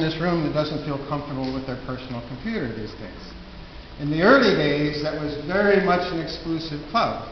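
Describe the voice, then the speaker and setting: Speaking at a moderate pace, a man with an American accent has a fairly high pitch, with audible room echo and noticeable background noise. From Minnesota, US Midwest. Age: 60s. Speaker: conference presenter, educator. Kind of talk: conference presentation. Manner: halting, with false starts.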